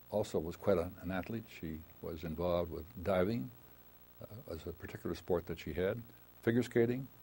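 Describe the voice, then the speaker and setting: Speaking at a fairly quick pace, a man has a very deep, low pitch and a dark, mellow tone. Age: 80s+. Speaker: retired lawyer. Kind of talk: oral history interview. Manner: halting, many fillers.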